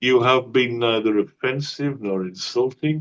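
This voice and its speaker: A man with a medium pitch speaks at a very slow pace with ordinary pitch variation. The sound is dry and close with no echo. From northern England. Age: 60s. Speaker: atheist channel host. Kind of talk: debate discussion. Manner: slower than usual.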